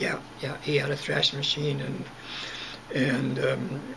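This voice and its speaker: Amid noticeable background noise, a man with a Western Canadian accent speaks very slowly at a fairly high pitch in a monotone, flat intonation. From Southern Alberta, Canada. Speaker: retired farmer recalling childhood. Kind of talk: oral history interview answer. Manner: hesitant, halting. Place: home room. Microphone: webcam.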